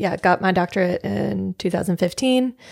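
Someone with an American accent speaks in a normal speaking voice at a moderate pace, on a very clean recording with a silent background. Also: woman. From Memphis, Tennessee, US South. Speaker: physical therapist. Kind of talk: casual chat.

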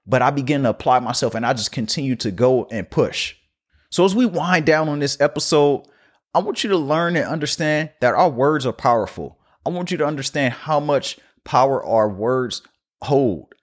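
A man speaks in an energetic tone at a fairly high pitch with ordinary pitch variation. The recording is very clean, with a silent background. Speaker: podcast host and coach. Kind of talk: motivational solo monologue. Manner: fast talker; motivational, energetic.

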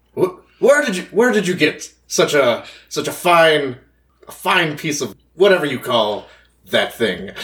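In a put-on character voice, a man talks at a very slow pace with a high pitch and long, frequent pauses. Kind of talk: proper, refined. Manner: polite, curious.

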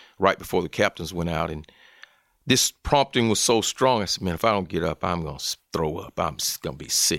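On a very clean recording with a silent background and a dry, close sound with no echo, a man with a very deep, low pitch and a Southern US accent speaks at a fairly quick pace with lively intonation. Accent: Southern American. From US South, Columbus, Georgia / Phenix City, Alabama. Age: 50s. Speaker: college football chaplain, former NFL player. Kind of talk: interview.

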